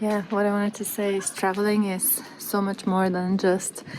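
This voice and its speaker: A woman at medium pitch with monotone, flat intonation, over noticeable background noise. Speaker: travel vlogger. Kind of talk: casual vlog talk to camera. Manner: hesitant, many fillers. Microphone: poor audio.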